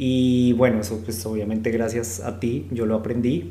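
A man at a medium pitch and fairly slow pace, with fairly even intonation, audible room echo and noticeable background noise. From Colombia, Bogotá. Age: 30s. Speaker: podcast co-host. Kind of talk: casual chat.

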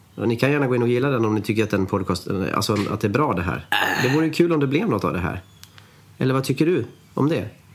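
A man's medium-pitched voice at a very fast pace, with lively intonation. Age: 30s. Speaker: actor and podcast host. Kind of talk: comedic scripted chat.

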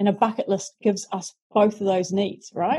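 Speaking at a fairly quick pace, a woman with a New Zealand accent has a somewhat breathy voice at a medium pitch. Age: 40s. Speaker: self-help author. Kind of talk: interview.

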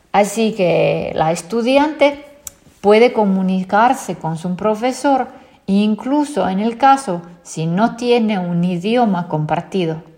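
Speaking at a very slow pace, a woman with a dark, mellow tone uses lively intonation. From Finland. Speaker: tech company founder and CEO. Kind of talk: interview.

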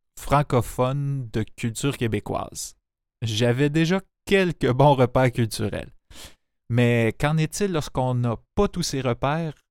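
Long, frequent pauses from a man with a Quebec accent, ordinary pitch variation, and a very clean recording with a silent background. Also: dry, close sound with no echo. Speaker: podcast host and narrator. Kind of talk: scripted narration.

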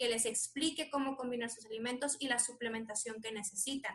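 A woman's high, bright and sharp voice at a moderate pace, with fairly even intonation. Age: 20s. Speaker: doctor. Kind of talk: interview.

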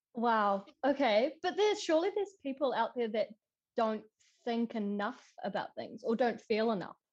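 Using an unremarkable speaking voice, a woman talks at a fairly high pitch. She keeps a moderate pace with lively intonation. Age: 20s. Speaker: podcast guest, former landscaper. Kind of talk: casual chat.

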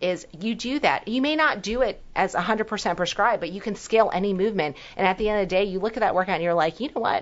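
A woman talks at a fairly quick pace. She has a plain, everyday voice. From Hong Kong-born, raised in New York. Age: 40s. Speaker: doctor. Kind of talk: interview chat.

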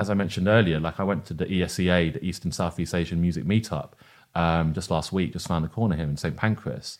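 Spoken with a London accent and ordinary pitch variation, the voice comes through on a very clean recording against a silent background. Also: man. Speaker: event producer and educator. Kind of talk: casual interview.

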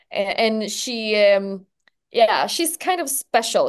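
Lively intonation from a woman with a Swedish accent, against a quiet background. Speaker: entertainment journalist. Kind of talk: casual chat.

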